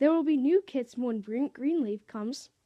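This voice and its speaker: Using a put-on character voice, a woman with a high pitch speaks at a moderate pace. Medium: read story. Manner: calm.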